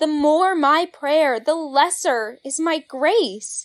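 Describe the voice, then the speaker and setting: A woman uses a put-on character voice pitched high. She speaks at a very slow pace with ordinary pitch variation. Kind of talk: archaic, theatrical.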